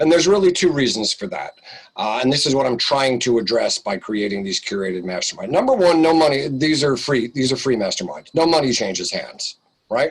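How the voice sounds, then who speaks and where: This is an unremarkable speaking voice with lively intonation, moving at a fairly quick pace. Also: man, fairly high pitch for a man. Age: 60s. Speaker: business coach. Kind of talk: interview.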